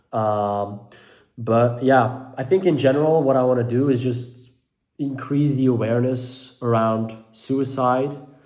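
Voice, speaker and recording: Audible room echo surrounds a man of medium pitch. He talks at a fairly slow pace with fairly even intonation. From Belgium (Dutch-speaking). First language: Dutch. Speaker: mental health vlogger. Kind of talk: personal vlog monologue. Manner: halting, many fillers.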